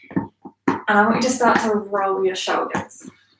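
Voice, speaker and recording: A woman speaks loudly in an upbeat tone, her pitch rising and falling in an ordinary way. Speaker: yoga teacher. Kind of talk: guided exercise class instruction. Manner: upbeat, encouraging.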